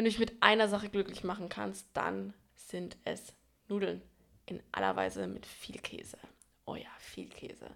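A woman whispers with long, frequent pauses. Her loudness swings widely. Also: moderate pace. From Franconia, Germany. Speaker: podcast co-host. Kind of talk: casual chat.

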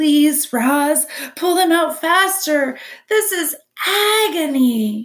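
A woman's put-on character voice, raised and projected, extremely high-pitched, at a very slow pace. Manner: through gritted teeth, pleading.

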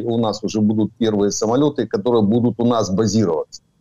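A man's voice with a dark, mellow tone. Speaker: retired army colonel and military expert. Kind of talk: interview commentary. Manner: halting with hesitations.

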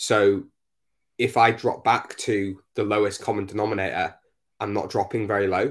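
On a very clean recording with a silent background, the speaker talks in a Northumbrian accent with monotone, flat intonation. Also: man, fairly low pitch for a man, moderate pace. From northeast England, Northumberland. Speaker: fitness coach and podcast host. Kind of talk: casual chat.

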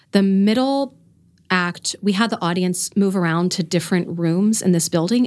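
A woman with an American accent has an ordinary speaking voice, fairly low in pitch with ordinary pitch variation, on a very clean recording with a silent background. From Florida. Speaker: theater artist. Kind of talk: casual chat. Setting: studio.

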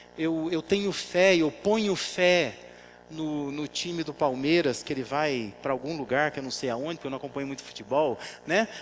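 Music plays behind a man with a fairly high pitch. He speaks at a moderate pace with ordinary pitch variation. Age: 40s. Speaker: pastor. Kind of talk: sermon.

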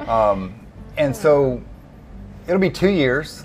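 A man with an American accent, with music in the background. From US South, Arkansas. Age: 40s. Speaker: recovery coach. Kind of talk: casual chat.

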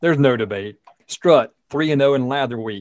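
A man's medium-pitched voice at a moderate pace, ordinary pitch variation, dry and close with no echo. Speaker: podcast host. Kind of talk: radio dj patter. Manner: upbeat, energetic.

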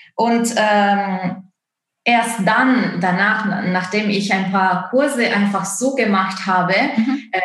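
A woman at medium pitch with an Italian accent, a very slow pace, fairly even intonation, very even loudness and audible room echo. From Italy. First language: Italian (speaking German). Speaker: opera singer and dance course founder. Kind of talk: interview. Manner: halting, many fillers.

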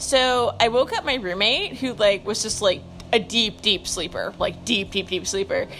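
Music plays behind a woman speaking at a moderate pace with an American accent. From US, suburban (parents from Brooklyn). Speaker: podcaster, dog owner. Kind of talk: casual monologue. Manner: rambling with frequent fillers.

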